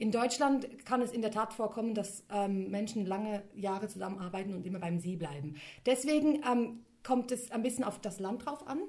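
This woman has an ordinary speaking voice pitched fairly high. She talks at a moderate pace with lively intonation. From Switzerland. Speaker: linguist and copywriter. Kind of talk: interview.

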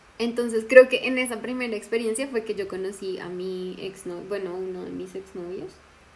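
A woman's medium-pitched voice at a fairly quick pace, ordinary pitch variation, and noticeable background noise. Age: 20s. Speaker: teacher and podcast co-host. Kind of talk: casual chat.

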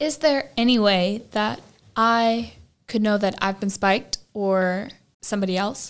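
With an ordinary speaking voice, a woman talks at a fairly high pitch and a fairly slow pace. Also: ordinary pitch variation. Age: young. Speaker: student podcast host. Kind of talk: interview.

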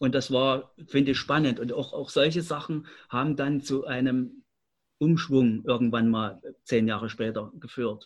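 A man with an unremarkable speaking voice talks at a fairly slow pace in a medium pitch, his pitch varying in an ordinary way while his loudness swings widely. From Leipzig, eastern Germany. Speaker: community centre director. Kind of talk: radio panel discussion.

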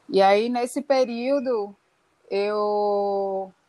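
The voice belongs to a woman and sits fairly high in pitch. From Recife, Pernambuco, Brazil. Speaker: performance artist. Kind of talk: interview. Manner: halting.

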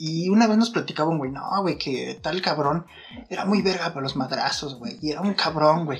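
Speaking at a moderate pace, a man uses a fairly high pitch with ordinary variation. Noticeable background noise can be heard throughout. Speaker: podcast co-host. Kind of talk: casual chat. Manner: animated.

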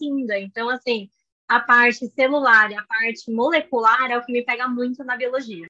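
A voice with a bright, sharp tone speaks at a moderate pace. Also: woman, dry, close sound with no echo. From Brazil, São Paulo. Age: 20s. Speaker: biology graduate and pre-master's student. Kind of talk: interview.

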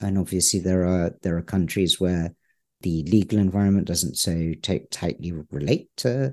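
A man speaks in a very deep, low pitch with a dark, mellow tone over a quiet background. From England. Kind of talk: interview. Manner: halting, many fillers.

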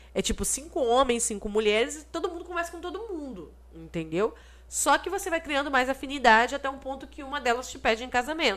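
A woman speaks at a fairly quick pace with a high pitch. Her pitch swings very widely and her loudness rises and falls sharply. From Brazil. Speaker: podcast co-host. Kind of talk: casual chat.

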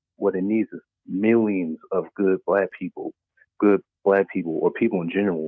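With a normal speaking voice, a man at fairly low pitch speaks at a moderate pace and fairly even intonation. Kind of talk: call-in comment. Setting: phone call.

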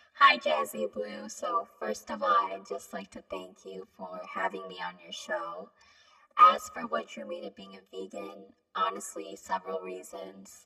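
Someone uses a raspy, put-on character voice. The pace is moderate.

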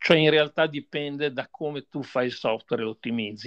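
A man with a plain, everyday voice speaks at a moderate pace with ordinary pitch variation. The background is quiet and the sound dry and close, with no echo. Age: 60s. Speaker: software developer and company founder. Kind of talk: interview.

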